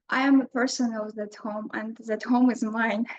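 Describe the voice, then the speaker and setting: Here is a woman with a non-native accent and a fairly high pitch. She speaks at a moderate pace in a flat, monotone way. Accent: non-native English pronunciation. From Artsakh (Stepanakert). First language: Armenian. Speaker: writer, anthology contributor. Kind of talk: panel talk, prepared remarks. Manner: halting.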